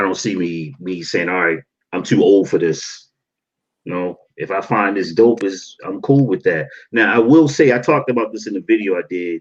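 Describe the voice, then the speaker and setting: A man with an American accent has a normal speaking voice, pitched fairly low. He speaks at a moderate pace with lively intonation. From Baltimore, US. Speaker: sneaker YouTuber. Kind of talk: casual chat. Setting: livestream.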